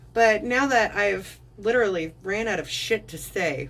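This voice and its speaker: A woman is speaking with vocal fry. Her pitch variation is ordinary. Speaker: live streamer. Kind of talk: casual chat. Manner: animated.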